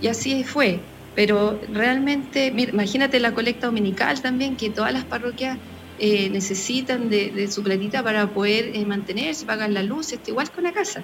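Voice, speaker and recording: A woman speaks at a moderate pace in a fairly high voice with ordinary pitch variation, and noticeable background noise can be heard. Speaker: parish communicator. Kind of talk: live radio interview.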